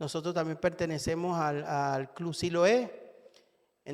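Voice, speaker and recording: A man with a Venezuelan accent talks at a fairly slow pace with fairly high pitch. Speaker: lay preacher. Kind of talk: sermon. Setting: church. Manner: halting, many fillers.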